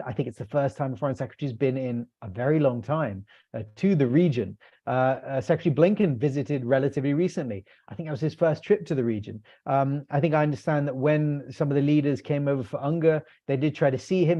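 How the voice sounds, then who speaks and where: A man speaks very fast in a British accent. His fairly high pitch shows ordinary variation. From UK. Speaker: policy analyst. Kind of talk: webinar panel discussion. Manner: halting, many fillers.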